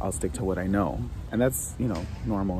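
Music plays behind a man whose very deep, low voice sounds dry with no echo. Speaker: vlogger. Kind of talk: casual vlog chat. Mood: reflective, thoughtful. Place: garden. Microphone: phone near.

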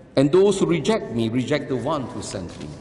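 The pitch swings very widely. Music plays in the background, and room echo is audible. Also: man. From Singapore. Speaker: archbishop giving homily. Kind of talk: sermon. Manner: earnest, solemn, admonishing; measured, deliberate, preacherly. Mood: earnest, admonishing. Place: church.

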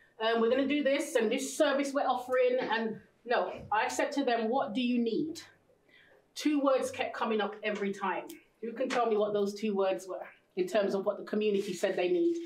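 A woman's fairly high voice at a fairly quick pace, with ordinary pitch variation, audible room echo and light background noise. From Jamaica and England. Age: 40s. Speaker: mental health charity founder; workshop facilitator. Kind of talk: motivational talk to young women. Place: classroom. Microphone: camera far.

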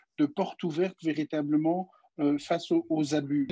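The setting is quiet. In a dark, mellow tone, a man talks at a fairly slow pace. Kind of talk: interview answer. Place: home room. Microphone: video call.

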